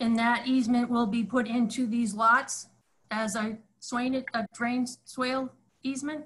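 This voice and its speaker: A woman speaks at a high pitch and a fairly slow pace. Her intonation is monotone and flat. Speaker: planning board member. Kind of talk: public meeting. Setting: video call. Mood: polite, concerned. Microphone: video call.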